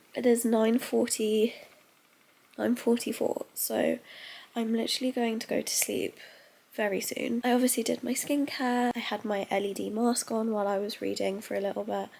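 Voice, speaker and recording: A woman with a British accent at a moderate pace. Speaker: lifestyle vlogger. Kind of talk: casual vlog talk to camera. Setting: bedroom at home. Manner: heavy breathing.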